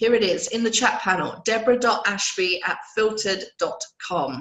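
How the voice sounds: Speaking fairly slowly with lively intonation, a woman has a croaky, fairly bright voice at medium pitch, and the room echo is audible.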